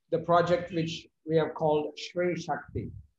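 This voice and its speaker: A man's fairly high-pitched voice with fairly even intonation, at a very slow pace. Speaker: yoga teacher. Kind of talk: interview questions.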